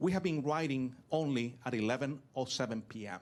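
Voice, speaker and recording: The speaker is a man with a Venezuelan accent. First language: Spanish. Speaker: business technology consultant and public speaker. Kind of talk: keynote talk. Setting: stage with audience.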